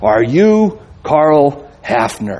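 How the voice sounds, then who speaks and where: A man's put-on character voice, fairly high-pitched and rumbling. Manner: grumbling.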